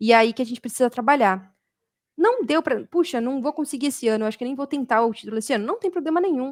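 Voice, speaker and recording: A high-pitched woman talks at a very fast pace with lively intonation, in a very clean recording with a silent background and a dry, close sound with no echo. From Brazil, São Paulo state. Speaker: automation developer and community speaker. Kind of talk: community talk presentation. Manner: animated.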